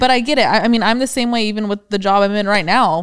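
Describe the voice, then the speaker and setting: A woman at a fairly quick pace, medium pitch and ordinary pitch variation, a normal speaking voice. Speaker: podcast co-host. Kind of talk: casual chat.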